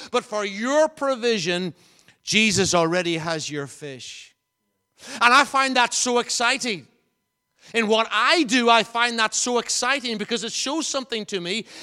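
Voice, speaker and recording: A man's raised, projected voice in a Northern Irish accent, extremely high in pitch, bright and sharp, with lively intonation at a moderate pace. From Northern Ireland, County Fermanagh. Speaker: visiting preacher. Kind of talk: sermon. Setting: church.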